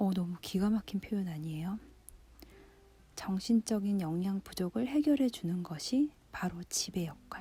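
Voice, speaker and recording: At a very slow pace, a somewhat breathy voice with a dark, mellow tone moves through ordinary pitch variation. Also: woman. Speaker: book-reading radio host. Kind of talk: relaxed radio-style book reading, sleep listening.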